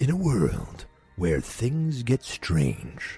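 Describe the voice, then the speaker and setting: Faint music plays in the background. A man at medium pitch performs a put-on character voice. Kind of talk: dramatic announcer. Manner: dramatic, portentous.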